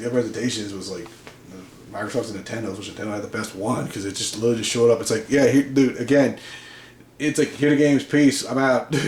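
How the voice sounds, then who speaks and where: A man with a medium-pitched voice talks very fast, his pitch varying in an ordinary way while his loudness swings widely over noticeable background noise. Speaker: gaming YouTuber. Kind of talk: rant. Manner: halting, repeats words.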